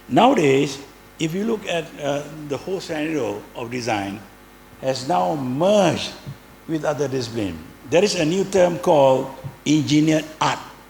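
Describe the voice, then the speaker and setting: Fairly high in pitch, a man speaks at a moderate pace with lively intonation and long, frequent pauses, amid noticeable background noise and audible room echo. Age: 70s. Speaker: design professor. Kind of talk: speech. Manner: halting.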